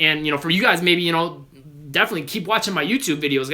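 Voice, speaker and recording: Bright and sharp in tone, a man speaks with a fairly high pitch. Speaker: basketball trainer. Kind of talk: live Q&A stream. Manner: fast.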